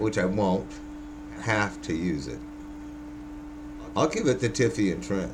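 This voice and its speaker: Speaking at a fairly slow pace with long, frequent pauses, a man with a very deep, low pitch makes very wide pitch swings, with audible room echo and noticeable background noise. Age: 50s. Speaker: vlogger, former house framer. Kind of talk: casual monologue. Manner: halting.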